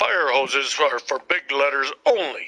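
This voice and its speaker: Growling at a moderate pace, a man performs a put-on character voice pitched fairly high. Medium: read story. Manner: authoritative.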